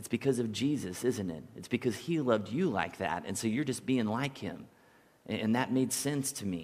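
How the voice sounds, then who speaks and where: A man's medium-pitched voice with vocal fry, at a moderate pace. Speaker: pastor. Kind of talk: sermon. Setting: church.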